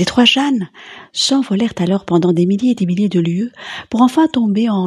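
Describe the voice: The speaker is doing plain reading aloud.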